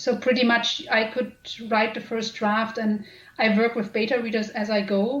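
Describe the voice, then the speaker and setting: A woman speaks with a German accent at a moderate pace. Her pitch is fairly high and her intonation flat and monotone, with noticeable background noise. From Germany. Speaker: author and editor. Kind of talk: interview.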